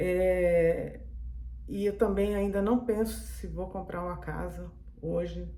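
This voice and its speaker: A woman speaks at a very slow pace over noticeable background noise, with audible room echo. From Brazil. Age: 60s. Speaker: vlogger. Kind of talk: casual monologue vlog. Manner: halting, with fillers.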